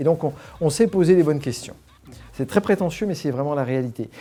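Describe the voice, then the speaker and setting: This man speaks with lively intonation. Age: 60s. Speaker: alumni association volunteer leader, former company executive. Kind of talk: interview. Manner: hesitant, many fillers and repetitions.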